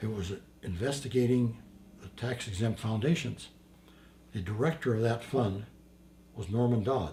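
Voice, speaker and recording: The voice is somewhat breathy, moving at a moderate pace with ordinary pitch variation, big swings in loudness, and long, frequent pauses. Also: man, medium pitch for a man. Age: 80s+. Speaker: war veteran. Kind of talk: interview answer.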